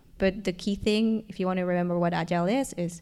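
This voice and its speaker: Speaking in an Argentine accent, a woman has a medium pitch. Her pace is fairly quick and her intonation fairly even. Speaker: learning and development professional. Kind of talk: live panel discussion. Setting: stage with audience.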